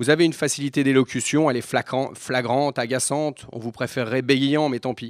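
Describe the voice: The reading aloud is plain. Its pitch holds fairly level.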